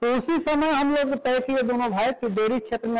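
Talking at a moderate pace, a man uses an extremely high pitch with ordinary pitch variation.

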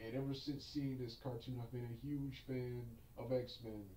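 Audible room echo with light background noise. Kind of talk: casual vlog chat. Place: home room.

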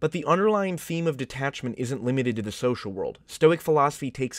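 Over a dry, close sound with no echo, a man with a normal speaking voice talks at a fairly quick pace with lively intonation. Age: 20s. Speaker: video essayist. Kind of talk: scripted narration.

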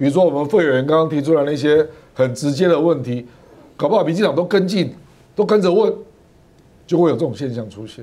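A man talks at a very fast pace with a dark, mellow tone and a fairly high pitch. His intonation is lively, broken by long, frequent pauses. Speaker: political commentator. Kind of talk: talk show panel discussion.

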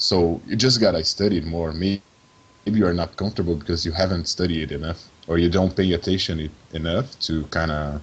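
A man speaks with a very deep, low voice and a Portuguese accent. His pitch varies in an ordinary way, and his pace is moderate. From Brazil, Sao Paulo. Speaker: video game character artist. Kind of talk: interview. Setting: call.

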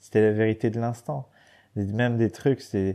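A man's fairly low, dark and mellow voice at a moderate pace against a quiet background. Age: 30s. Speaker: professional adventurer and former racing cyclist. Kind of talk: casual interview chat. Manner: halting, many hesitations and repeated words.

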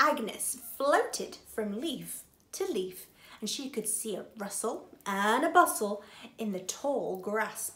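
Lively intonation in a natural reading voice.

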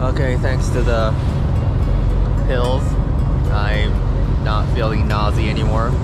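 Music plays in the background. A man speaks over it at a fairly slow pace. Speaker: vlogger on fishing trip. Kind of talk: casual vlog chat. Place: boat. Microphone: phone near.

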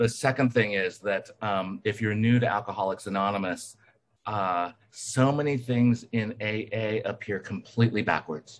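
An unremarkable speaking voice, delivered at a fairly slow pace with fairly even intonation. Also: man, fairly low pitch for a man. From US South, Alabama. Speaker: recovering alcoholic speaker. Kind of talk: testimony.

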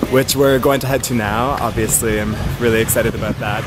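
With music playing in the background, a man speaks fairly quickly, his pitch varying in an ordinary way. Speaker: travel vlogger. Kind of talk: casual vlog chat. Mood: upbeat, excited. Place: street. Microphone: phone near.

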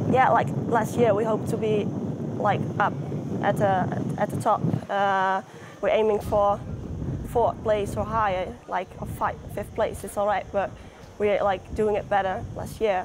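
A woman speaks at a fairly slow pace in a medium pitch, her intonation monotone and flat, over noticeable background noise. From Netherlands. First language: Dutch. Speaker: professional football goalkeeper. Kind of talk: interview. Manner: hesitant. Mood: relaxed, cheerful. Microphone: lapel.

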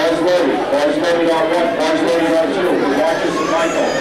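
A man talks amid crowd noise in the background, with audible room echo around him. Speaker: meet announcer. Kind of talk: event announcements. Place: hall. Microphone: pa.

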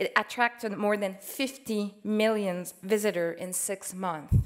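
A woman talks in a Quebec accent with ordinary pitch variation. The background is quiet. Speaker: museum curator. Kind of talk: conference presentation. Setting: stage with audience. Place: hall. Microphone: podium.

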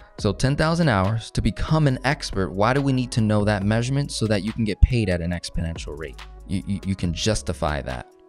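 A man at a fairly low pitch and moderate pace, with faint background music. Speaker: finance teacher. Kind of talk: lecture. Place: meeting room.

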